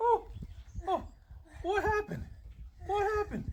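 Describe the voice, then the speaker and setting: Over clear background noise, a put-on, squeaky character voice at an extremely high pitch moves along at a moderate pace. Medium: short film. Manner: earnest, flustered.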